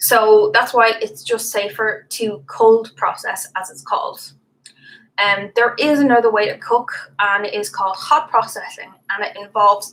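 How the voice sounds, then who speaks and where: A woman with an unremarkable speaking voice talks at a moderate pace and a fairly high pitch. Her pitch variation is ordinary, while her loudness swings widely. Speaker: soap making tutor. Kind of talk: tutorial.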